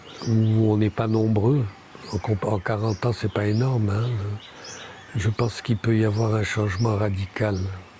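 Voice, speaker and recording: Over noticeable background noise, a man speaks very slowly at a fairly low pitch with monotone, flat intonation. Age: 60s. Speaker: architect. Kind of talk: interview. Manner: halting.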